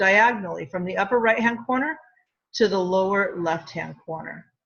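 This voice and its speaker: At a moderate pace, a woman talks in a medium pitch with an ordinary speaking voice. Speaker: middle school math teacher. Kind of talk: tutorial.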